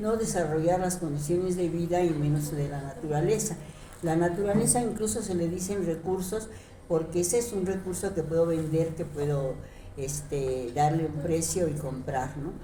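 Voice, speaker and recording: A woman's fairly low-pitched voice at a moderate pace, with audible room echo and noticeable background noise. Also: ordinary pitch variation. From Mexico City. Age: 80s+. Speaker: retired teacher and leftist activist. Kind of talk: interview. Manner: halting, many fillers.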